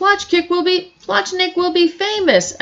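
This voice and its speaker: At a moderate pace, a woman performs a put-on character voice. It sounds squeaky and extremely high. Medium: read story. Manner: eager, money-minded.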